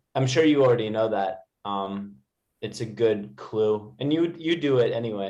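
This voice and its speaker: Speaking at a fairly slow pace, a man with an American accent has a medium pitch and ordinary pitch variation. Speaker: English tutor. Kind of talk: online English lesson.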